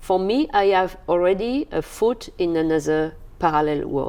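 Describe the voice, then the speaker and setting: A woman speaks with ordinary pitch variation. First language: not English. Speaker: bereaved mother, organ donation speaker. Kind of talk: interview. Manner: halting.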